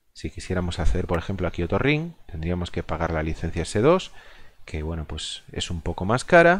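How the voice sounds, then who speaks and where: A man speaks at a very deep, low pitch and moderate pace. His pitch varies in an ordinary way against a quiet background. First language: Galician (speaking Spanish). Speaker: gaming video creator. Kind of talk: gameplay commentary. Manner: halting, many fillers.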